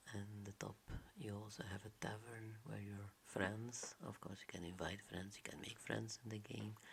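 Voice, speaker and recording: At a moderate pace, the speaker whispers in a soft-spoken way. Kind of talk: ASMR game tutorial narration. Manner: whispered, soft-spoken.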